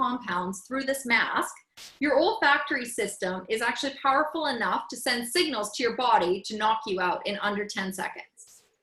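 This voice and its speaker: A woman with a Canadian accent talks at a high pitch with hardly any pauses. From Canada. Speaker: essential oils educator. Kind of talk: presentation to a group.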